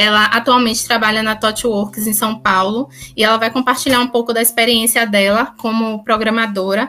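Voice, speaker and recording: Her fairly high voice stays monotone and flat, with very even loudness and hardly any pauses as this woman speaks. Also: moderate pace. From Bahia, Brazil. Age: 30s. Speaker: student and tech inclusion project coordinator. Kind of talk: podcast panel discussion.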